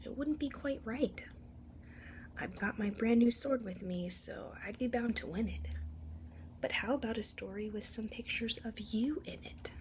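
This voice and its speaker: A soft-spoken woman at a moderate pace. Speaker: ASMR storyteller. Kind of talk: bedtime story read-aloud.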